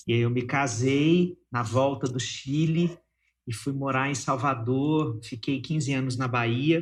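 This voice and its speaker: A man talks very slowly at medium pitch, somewhat breathy, with fairly even intonation. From Minas Gerais, Brazil. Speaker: psychologist and writer. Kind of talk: interview conversation.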